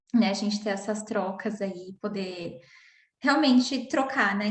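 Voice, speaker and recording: A woman's somewhat breathy, fairly high voice at a moderate pace. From São Paulo, Brazil. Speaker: psychoanalyst. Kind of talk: online panel discussion. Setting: online video call.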